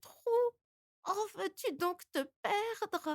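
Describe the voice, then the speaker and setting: A woman at a very slow pace, the sound dry and close with no echo. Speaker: voice actor. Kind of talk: folk tale reading.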